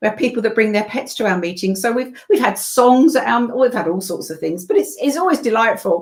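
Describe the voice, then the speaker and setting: With a British accent, a woman speaks at a fairly quick pace in a fairly high pitch. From England. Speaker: voiceover artist and event co-owner. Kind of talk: casual chat.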